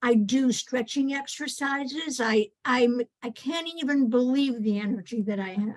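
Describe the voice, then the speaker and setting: A woman's high voice at a fairly slow pace, with ordinary pitch variation and hardly any pauses. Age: 80s+. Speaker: workshop participant. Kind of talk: testimony.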